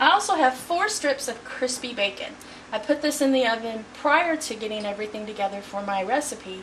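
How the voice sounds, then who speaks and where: A fairly high female voice, fairly quick and lively in intonation, with audible room echo and noticeable background noise. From Texas, Houston. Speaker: home cook. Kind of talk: cooking tutorial. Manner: friendly, conversational.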